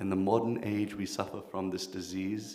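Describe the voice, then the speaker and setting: A man's fairly low voice at a fairly slow pace, with audible room echo and noticeable background noise. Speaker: kirtan leader and spiritual speaker. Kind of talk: workshop talk. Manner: animated.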